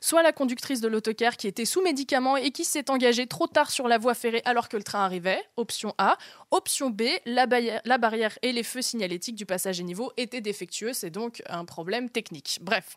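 This is an unremarkable speaking voice from a woman, fairly high in pitch with lively intonation at a fairly quick pace. The very clean recording has a silent background and a dry, close sound with no echo. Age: 20s. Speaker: journalist, podcaster. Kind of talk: casual storytelling.

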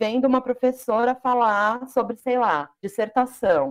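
Pitched high, a woman's voice moves at a fairly slow pace. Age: 20s. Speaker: Portuguese teacher. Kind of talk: casual chat.

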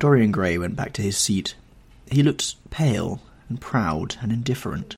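Lively intonation in an unforced reading voice

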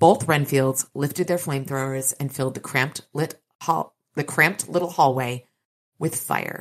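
Quiet background behind a natural reading voice

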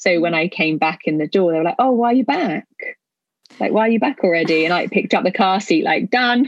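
A woman talks at a fairly quick pace, her medium-pitched voice lively in intonation and very even in loudness. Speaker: hypnobirthing company founder. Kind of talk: casual interview chat. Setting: podcast recording. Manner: calm.

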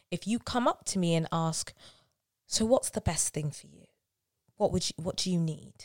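Speaking with a South London accent, a woman with a fairly low pitch and ordinary pitch variation moves at a moderate pace, with long, frequent pauses, big swings in loudness, and a dry, close sound with no echo. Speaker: musical theatre actress. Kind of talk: casual chat.

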